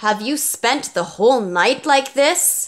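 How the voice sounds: Putting on a growling character voice, a woman speaks at a high pitch and a fairly slow pace.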